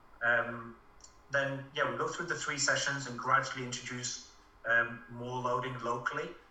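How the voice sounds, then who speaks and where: Noticeable background noise accompanies a man talking at a moderate pace and medium pitch, his intonation fairly even. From Norway. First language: Norwegian. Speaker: physiotherapist. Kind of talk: casual interview. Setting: video call. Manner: hesitant, many fillers.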